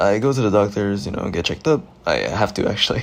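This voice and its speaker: This man speaks quietly at a fairly quick pace. His pitch is fairly low. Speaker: gaming youtuber. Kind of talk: gameplay commentary. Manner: casual, hesitant with fillers.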